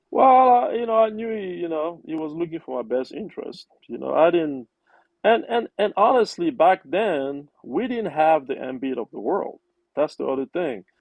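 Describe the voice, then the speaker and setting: A man in a Cameroonian accent speaks with a high pitch and very wide pitch swings. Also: moderate pace. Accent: Cameroonian francophone English. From Cameroon, Yaounde. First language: French. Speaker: investment professional. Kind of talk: interview.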